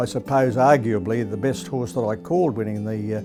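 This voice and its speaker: A man at a fairly quick pace, ordinary pitch variation, music in the background. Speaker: retired race caller. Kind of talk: interview answer. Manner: fluent, reflective, enthusiastic.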